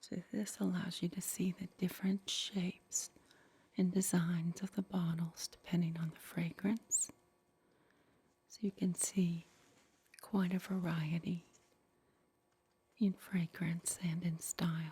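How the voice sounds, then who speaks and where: Soft-spoken and somewhat breathy, a woman talks at a fairly slow pace in a fairly low pitch with a dark, mellow tone, monotone, flat intonation, and long, frequent pauses. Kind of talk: retro roleplay ASMR, 1960s Avon representative demonstration. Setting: ASMR roleplay setup with catalog and props.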